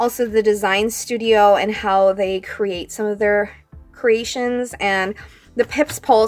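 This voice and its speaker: Music plays in the background while a woman talks at a fairly slow pace with a fairly high pitch. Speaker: planner and sticker YouTuber. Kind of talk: unboxing video. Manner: casual, chatty.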